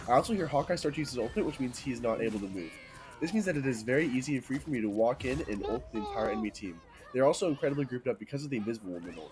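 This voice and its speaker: Over noticeable background noise, a man talks at a very fast pace. His medium-pitched voice has lively intonation. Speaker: competitive video game player. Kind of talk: game strategy guide narration.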